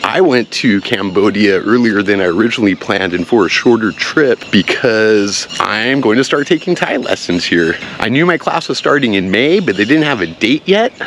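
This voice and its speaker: With an American accent, a man speaks fairly quickly in a fairly low pitch with lively intonation, over noticeable background noise. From United States. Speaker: vlogger. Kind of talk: casual vlog talk. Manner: animated.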